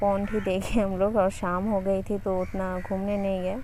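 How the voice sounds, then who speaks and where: Audible echo fills the room. A woman speaks at medium pitch with a dark, mellow tone. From West Bengal. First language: Bengali (speaking Hindi). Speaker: travel vlogger. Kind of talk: casual vlog narration. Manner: halting.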